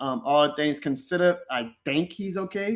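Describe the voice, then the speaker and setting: This man speaks in a New Orleans accent with a high pitch and lively intonation. His tone is bright and sharp. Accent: New Orleans accent, milder than a Cajun one. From New Orleans East, Louisiana. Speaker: sports podcaster. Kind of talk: live stream chat. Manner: casual.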